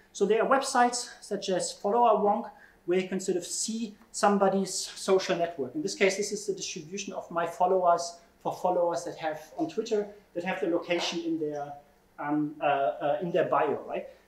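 A man with a high pitch talks at a moderate pace using lively intonation. Room echo can be heard. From Germany. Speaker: computational social scientist; keynote speaker. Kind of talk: keynote lecture. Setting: conference stage with audience. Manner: frequent fillers and hesitations. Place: meeting room. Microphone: camera far.

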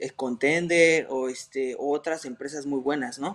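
A man with a fairly high pitch speaks at a very slow pace with fairly even intonation. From Mexico City. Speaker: MMA fighter; interviewee. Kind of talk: interview. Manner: hesitant, many fillers. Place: home room. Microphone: video call.

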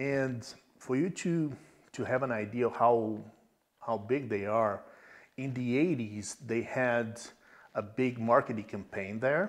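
A man with a Portuguese accent and a medium pitch speaks at a very slow pace with long, frequent pauses and ordinary pitch variation against a quiet background. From Brazil, small countryside town. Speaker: e-commerce tech executive. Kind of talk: interview.

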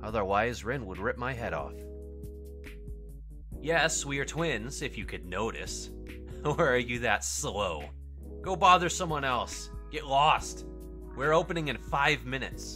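Clear music plays behind a man putting on a gruff character voice, speaking at a moderate pace with long, frequent pauses. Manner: gruff, dismissive, irritable.

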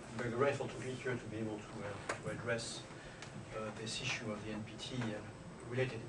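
Over loud background noise, a man keeps up a moderate pace. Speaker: visiting ambassador lecturer. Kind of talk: lecture. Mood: polite, lightly humorous. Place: classroom. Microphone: podium.

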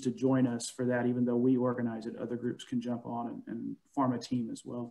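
A man's medium-pitched voice, dark and mellow in tone, with an American accent, against a quiet background. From US Midwest. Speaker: honors college director and professor; professor. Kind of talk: casual alumni chat and program update. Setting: video call. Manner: warm, informal. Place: home room. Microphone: video call.

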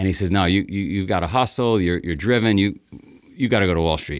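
This man has a very deep, low pitch and a New York accent. He talks at a very fast pace over a quiet background. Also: dry sound with no echo. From New York, Queens. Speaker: race founder; podcast guest. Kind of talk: storytelling interview. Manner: animated. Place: studio. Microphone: studio mic.

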